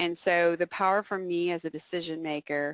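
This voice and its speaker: A woman with a normal speaking voice talks at a moderate pace and a fairly low pitch. The sound is dry and close, with no echo. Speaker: software presenter, CPA. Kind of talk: webinar software demo.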